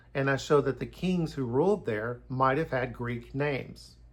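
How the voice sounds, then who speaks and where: Vocal fry marks this man's medium-pitched voice, which has ordinary pitch variation and a moderate pace in a very clean recording with a silent background. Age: 60s. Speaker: YouTuber giving Bible and history commentary. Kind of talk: casual monologue.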